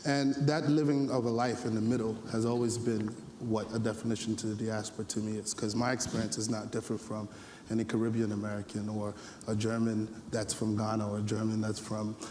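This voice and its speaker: The man's pitch sits in the middle range, and his intonation is monotone and flat. He talks at a fairly quick pace. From US Northeast, the Bronx, New York. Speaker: panelist at youth forum. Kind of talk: panel discussion.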